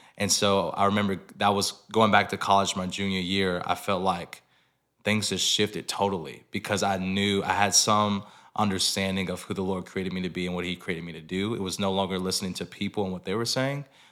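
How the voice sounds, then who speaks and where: Fairly low in pitch, a man with an American accent speaks in monotone, flat intonation. His pace is fairly quick and his tone bright and sharp. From US South, Georgia (near Atlanta). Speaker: worship leader and singer. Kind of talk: casual interview.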